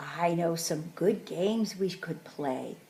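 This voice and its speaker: A woman's put-on character voice, fairly low in pitch and at a fairly slow pace. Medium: read story. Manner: exuberant.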